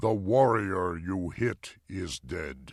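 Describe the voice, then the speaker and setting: Putting on a character voice, a man talks at a very slow pace in a very deep, low pitch, on a very clean recording with a silent background. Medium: read story. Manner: slow and deliberate.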